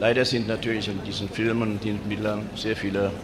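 A man with a fairly low pitch talks at a fairly quick pace over noticeable background noise. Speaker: film club member narrating archive footage. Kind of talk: commentary over archive footage, informal running narration of a 1950s ceremony film. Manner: casual, chatty, halting with fillers and self-corrections; dry, wry, pointing things out as the images roll.

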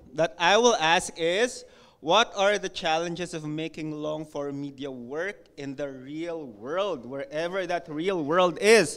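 Speaking at a very slow pace, a man with a high pitch shows big swings in loudness. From Philippines. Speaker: university lecturer and event emcee. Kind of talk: event hosting. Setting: lecture hall with live audience. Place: hall. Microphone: podium.

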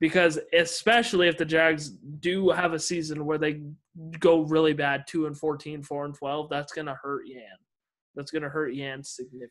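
Using a normal speaking voice, a man talks at a moderate pace and fairly high pitch with fairly even intonation and big swings in loudness. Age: 20s. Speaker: YouTube sports host. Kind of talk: casual sports chat.

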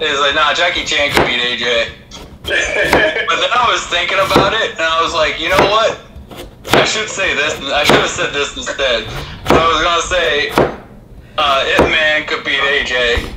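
The speech moves at a moderate pace. Loud background noise runs behind it. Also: man. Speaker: remote co-host. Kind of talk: casual banter. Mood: joking, playful. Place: kitchen.

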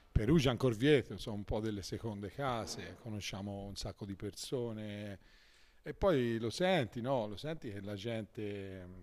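Speaking at a moderate pace, a man with fairly low pitch and ordinary pitch variation shows big swings in loudness. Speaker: marching band musician. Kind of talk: casual radio interview. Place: shop. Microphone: handheld.

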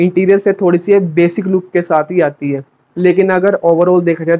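Flat and monotone, a man speaks at a fairly slow pace. His pitch is high. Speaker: car reviewer. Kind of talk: commentary.

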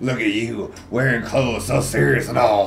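A man puts on a character voice at a medium pitch, with lively intonation. He keeps a moderate pace over clear background noise. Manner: cheerful.

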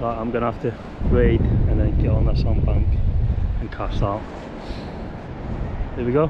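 A man speaks slowly-ish in a fairly low pitch with little pitch movement. Clear background noise sits behind him.

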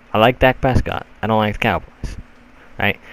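Noticeable background noise behind a man with a fairly low pitch. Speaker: gaming YouTuber. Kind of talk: casual channel update vlog. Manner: rambling, informal.

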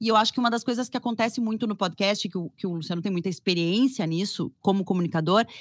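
Against a quiet background, a woman talks at a fairly quick pace with ordinary pitch variation and a dry sound with no echo. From Porto Alegre, Brazil. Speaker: journalist and fashion podcaster; journalist, fashion podcaster. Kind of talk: casual chat. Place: home room. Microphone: studio mic.

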